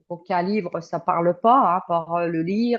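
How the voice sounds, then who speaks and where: Fairly even intonation and a fairly slow pace from a woman at medium pitch. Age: 60s. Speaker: client giving a testimonial. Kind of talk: interview testimony. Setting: remote call. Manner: halting, many hesitations.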